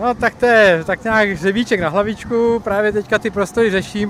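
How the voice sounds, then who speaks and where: A man talks at a fairly quick pace, and noticeable background noise is present. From Czechia, central Bohemia. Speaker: tractor collector, print production worker. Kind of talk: interview.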